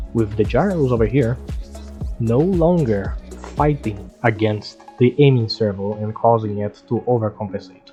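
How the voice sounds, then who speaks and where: Lively intonation at a moderate pace, with music in the background. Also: man. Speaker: game tutorial creator. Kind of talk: gameplay commentary narration.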